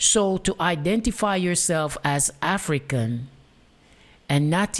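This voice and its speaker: A woman with a Jamaican accent, fairly low in pitch and lively in intonation, in a very clean recording with a silent background. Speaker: talk show host. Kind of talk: monologue commentary.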